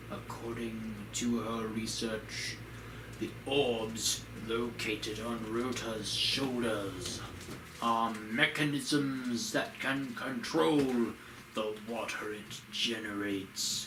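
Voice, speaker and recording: A man in a put-on character voice at medium pitch and a very slow pace, over loud background noise. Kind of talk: formal, archaic game dialogue. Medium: game stream. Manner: stately, deliberate.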